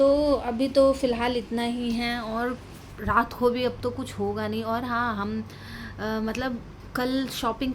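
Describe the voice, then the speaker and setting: This woman's pitch is high. Her intonation stays fairly even. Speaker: lifestyle vlogger. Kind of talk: casual vlog chat.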